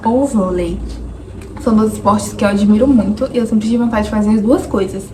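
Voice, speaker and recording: A woman's fairly high voice with ordinary pitch variation at a moderate pace, audible room echo and noticeable background noise. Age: 20s. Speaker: vlogger. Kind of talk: personal vlog monologue.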